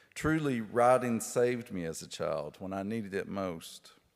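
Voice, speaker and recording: With an Appalachian accent, a man talks at a fairly slow pace with ordinary pitch variation. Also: very clean recording, silent background. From Appalachia, rural Kentucky. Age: 50s. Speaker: author and poet giving a lecture. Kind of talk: lecture.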